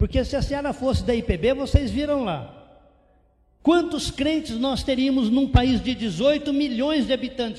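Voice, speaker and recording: An extremely high-pitched male voice with audible room echo. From interior of São Paulo, Brazil. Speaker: missionary pastor. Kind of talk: sermon.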